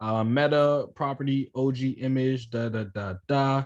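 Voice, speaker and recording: An unremarkable speaking voice belongs to this man, who talks at a fairly slow pace and medium pitch with ordinary pitch variation. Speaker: coding instructor. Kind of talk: online class tutorial.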